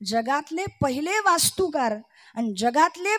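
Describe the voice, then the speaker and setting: A woman talks in a high register, her pitch leaping across a very wide range. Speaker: kirtan preacher. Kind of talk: devotional kirtan discourse.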